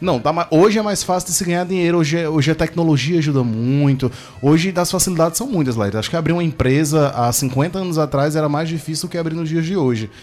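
A man speaks at a very fast pace, his fairly high pitch moving with ordinary variation. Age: 30s. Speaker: radio co-host. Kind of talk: casual radio chat. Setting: radio studio.

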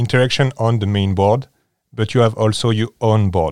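A man with a French accent speaks at a moderate pace and fairly low pitch with ordinary pitch variation, in a dry, close sound with no echo on a very clean recording, silent background. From France, near Paris. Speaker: board game enthusiast guest. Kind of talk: casual interview chat.

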